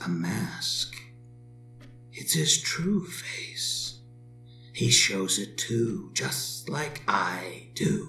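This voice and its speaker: A man's put-on character voice in a calm, smug tone, over clear music in the background. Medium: audio drama. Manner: calm, smug, amused.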